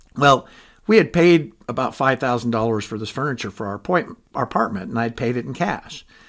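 A man with a plain, everyday voice talks at medium pitch and a fairly quick pace, with ordinary pitch variation. The recording is very clean, with a silent background. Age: 60s. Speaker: podcaster, retiree. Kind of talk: personal monologue. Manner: conversational.

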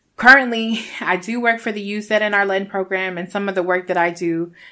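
A woman speaks with a Spanish accent. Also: very clean recording, silent background. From Rochester, New York (born in Puerto Rico). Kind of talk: casual personal storytelling. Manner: animated.

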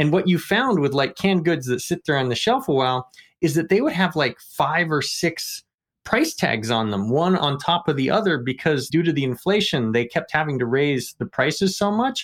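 On a very clean recording with a silent background, a man with an unremarkable speaking voice and fairly high pitch talks at a moderate pace with lively intonation and very even loudness. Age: 40s. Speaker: economics textbook author, podcast co-host. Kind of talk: casual discussion.

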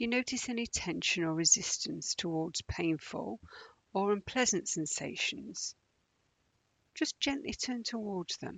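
A woman speaks at a fairly slow pace in a calm, soothing tone at a medium pitch. Her pitch swings very widely. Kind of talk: guided meditation. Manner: slow, calm, soothing, with long pauses between gentle instructions; soft-spoken, even, unhurried.

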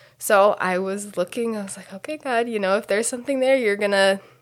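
A woman speaks with a Midwestern American accent. The recording is very clean, with a silent background. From US Midwest (Delaware, Ohio). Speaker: missionary. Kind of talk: interview.

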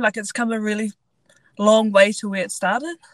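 A woman speaks in a Southland New Zealand accent with a fairly high pitch. The sound is dry and close, with no echo. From New Zealand, Invercargill (far south). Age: 20s. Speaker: rugby sevens player, Olympic athlete. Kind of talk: casual interview.

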